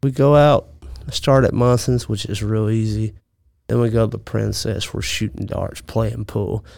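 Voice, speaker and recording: A medium-pitched man with a Mississippi accent and a dark, mellow tone. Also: very clean recording, silent background. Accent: Mississippi Southern. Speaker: podcaster. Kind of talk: casual chat.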